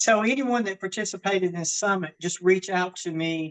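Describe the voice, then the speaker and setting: In a Southern US accent, a woman speaks with a dry, close sound and no echo. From US South, Georgia. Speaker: fitness and wellness coach. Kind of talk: live online workshop. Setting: video call, outdoors in her garden.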